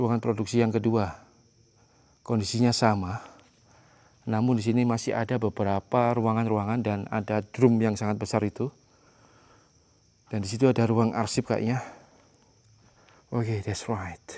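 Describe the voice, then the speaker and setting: A man's monotone, flat delivery with long, frequent pauses. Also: medium pitch for a man, moderate pace. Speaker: ghost hunting explorer vlogger. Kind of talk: solo exploration vlog narration. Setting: abandoned factory at night. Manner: loud.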